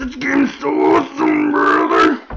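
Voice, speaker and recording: A man speaks loudly in a put-on character voice. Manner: tough, loud, bravado.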